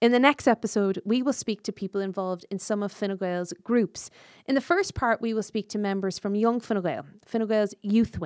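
In a very clean recording with a silent background, a woman speaks with an Irish accent. Her voice sits at a medium pitch with ordinary variation, at a moderate pace. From South Mayo, Ireland. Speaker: podcast host and politician. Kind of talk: scripted outro; podcast interview.

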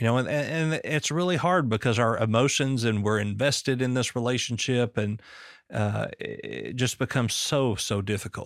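Here a man speaks at a moderate pace, medium in pitch, with ordinary pitch variation. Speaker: podcast host. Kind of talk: casual interview chat.

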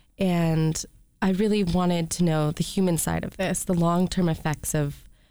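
A woman's fairly low, dark and mellow voice with an American accent, moderate pace and fairly even intonation. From US Midwest, Detroit area. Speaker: documentary filmmaker. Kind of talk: radio interview. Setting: studio.

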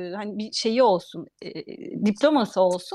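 This woman talks at a fairly slow pace in a very clean recording with a silent background. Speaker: food writer and journalist. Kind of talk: interview.

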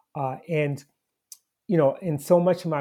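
A somewhat breathy voice with a dark, mellow tone speaks at a fairly slow pace with fairly even intonation. The recording is very clean, with a silent background. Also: man. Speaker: historian and activist. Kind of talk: interview.

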